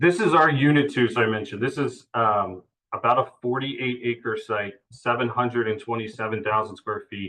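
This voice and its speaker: A man speaks at a medium pitch with hardly any pauses. His tone is bright and sharp. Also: ordinary pitch variation, moderate pace. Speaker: real estate developer presenter. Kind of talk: project update presentation. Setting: virtual meeting. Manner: halting, many fillers.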